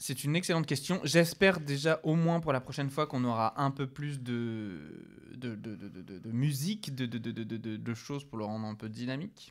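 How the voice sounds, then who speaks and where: At a moderate pace, a man with an unremarkable speaking voice uses medium pitch and lively intonation on a very clean recording with a silent background. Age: 30s. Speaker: podcast co-host. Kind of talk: casual chat.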